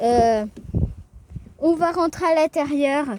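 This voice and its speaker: A woman speaks at a very slow pace. Her voice is high-pitched with ordinary variation. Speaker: car video youtuber. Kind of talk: casual car review vlog. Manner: casual, hesitant with fillers.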